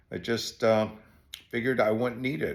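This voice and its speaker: Vocal fry runs through this man's medium-pitched voice as he talks at a fairly quick pace. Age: 70s. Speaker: retired business owner. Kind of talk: casual talk to camera.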